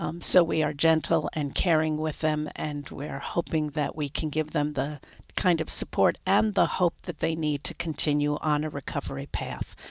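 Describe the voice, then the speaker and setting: The speaker keeps a moderate pace with hardly any pauses, ordinary pitch variation, and vocal fry. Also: woman, very deep, low pitch for a woman. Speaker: crisis mental health trainer. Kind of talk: training webinar wrap-up.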